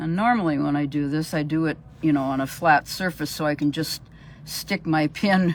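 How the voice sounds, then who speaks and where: At a moderate pace, a woman talks in a very deep, low pitch with fairly even intonation. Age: 70s. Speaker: sewing teacher. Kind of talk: sewing tutorial livestream. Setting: live video stream.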